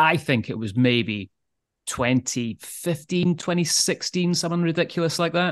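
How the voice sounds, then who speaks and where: Speaking in a Scottish accent, a man has a fairly high pitch. The sound is dry and close with no echo, and the background is quiet. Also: lively intonation, moderate pace. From Scotland. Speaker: podcast co-host. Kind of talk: casual chat.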